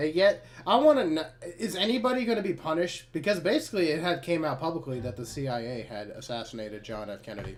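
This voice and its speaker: Talking at a very fast pace, a man uses a fairly high pitch with very wide swings and vocal fry. His loudness rises and falls in big swings. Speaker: podcast co-host. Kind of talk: casual political chat. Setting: live stream.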